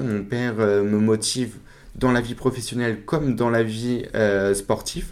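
At a fairly slow pace, it is a plain, everyday voice with ordinary pitch variation. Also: man. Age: 20s. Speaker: para-cyclist and salesman. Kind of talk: interview. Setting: in his workplace.

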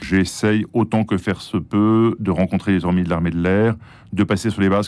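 This man has a fairly low pitch and talks at a moderate pace with fairly even intonation. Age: 60s. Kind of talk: interview. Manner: halting.

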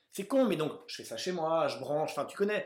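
A man's fairly high voice at a fairly quick pace. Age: 30s. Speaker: author and actor, film recommendation video creator. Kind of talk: casual interview chat. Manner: hesitant, many fillers.

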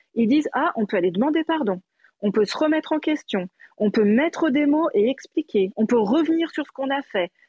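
The sound is dry and close, with no echo. A woman talks at a high pitch with very wide pitch swings. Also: moderate pace. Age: 40s. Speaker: educational psychologist. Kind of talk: casual chat. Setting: live audio room.

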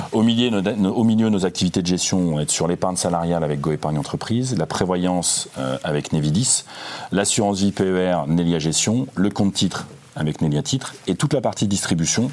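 Against noticeable background noise, a man with a very deep, low pitch talks at a fairly quick pace, with ordinary pitch variation and very even loudness. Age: 50s. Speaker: finance executive. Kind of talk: interview. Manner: halting, many repetitions.

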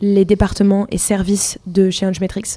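In a very clean recording with a silent background, a woman speaks at medium pitch and a moderate pace with a dark, mellow tone. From France, Loire near Roanne. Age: 20s. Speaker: customer success manager. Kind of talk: interview.

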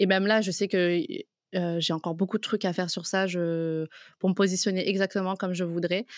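A woman's medium-pitched, monotone voice at a moderate pace, flat in intonation, dry and close with no echo, on a very clean recording with a silent background. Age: 20s. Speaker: freelance content creator. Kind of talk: casual interview.

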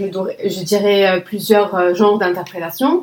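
The speaker has an Arabic accent. The pace is very slow. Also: woman. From Lebanon. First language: Arabic (speaking French). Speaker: conference interpreter. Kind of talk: interview.

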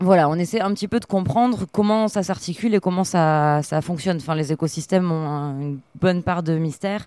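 On a very clean recording with a silent background, a woman with a dark, mellow tone and fairly low pitch speaks at a fairly quick pace with hardly any pauses. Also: ordinary pitch variation. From France, Arcachon (Gironde). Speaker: marine biologist. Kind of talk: interview.

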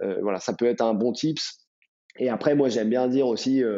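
A man talks with a normal speaking voice at medium pitch. His intonation stays fairly even. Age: 30s. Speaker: startup co-founder. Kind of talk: casual interview.

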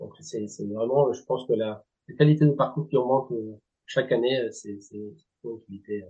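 Speaking at medium pitch, a man takes long, frequent pauses, and his loudness swings widely. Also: ordinary pitch variation. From Spanish Basque Country. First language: Spanish (speaking French). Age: 40s. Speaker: golf club director. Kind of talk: interview. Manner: halting, many hesitations.

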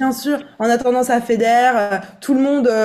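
With a plain, everyday voice, a woman speaks fairly high in pitch, varying it in an ordinary way. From eastern France. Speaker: vocal coach. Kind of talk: casual chat.

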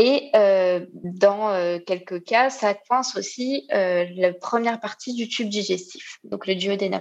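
Very slow speech from a woman, medium in pitch with ordinary pitch variation and hardly any pauses. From Réunion. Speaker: nurse. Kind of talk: testimony. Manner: halting.

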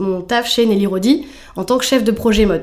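Fairly even in intonation, a woman speaks at a medium pitch and a moderate pace with noticeable background noise. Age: 30s. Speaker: fashion brand founder. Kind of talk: interview.

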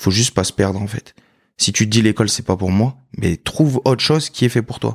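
Recorded very cleanly against a silent background, a man speaks in a plain, everyday voice. It is fairly low in pitch with ordinary pitch variation and a dry, close sound with no echo. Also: fairly quick pace. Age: 20s. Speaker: former navy serviceman, supermarket worker. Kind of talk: testimony interview.

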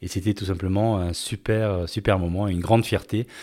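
A man's dark, mellow tone at a moderate pace with fairly even intonation, on a very clean recording with a silent background. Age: 50s. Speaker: podcast host, former business executive. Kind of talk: personal storytelling monologue. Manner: hesitant, with fillers.

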